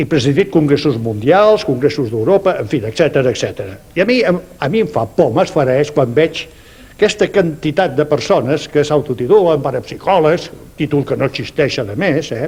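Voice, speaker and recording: Speaking at a moderate pace with lively intonation, a man with a fairly high pitch is heard over noticeable background noise. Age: 70s. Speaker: parapsychology researcher. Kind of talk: TV debate.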